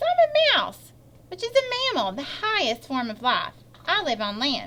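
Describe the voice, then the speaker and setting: Using a squeaky, put-on character voice at an extremely high pitch, a woman talks at a moderate pace. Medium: read story.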